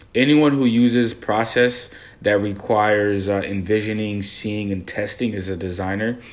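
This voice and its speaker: A man speaks in an unremarkable speaking voice with an American accent. His pitch is fairly low, his pace moderate and his intonation fairly even. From Haiti, raised in US from age 7. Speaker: graduate student co-host. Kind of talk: podcast discussion.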